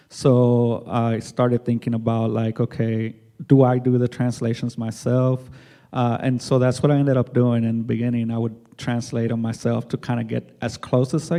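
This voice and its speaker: A man's dark, mellow tone with a Spanish accent, set against a quiet background. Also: medium pitch for a man, ordinary pitch variation, moderate pace. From Mexico, raised in US. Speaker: artist. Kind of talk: panel discussion.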